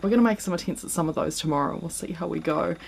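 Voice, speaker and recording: A woman speaks with a New Zealand accent. Her pitch is fairly low. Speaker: yoga teacher. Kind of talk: casual vlog talk to camera. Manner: hesitant, many filler words.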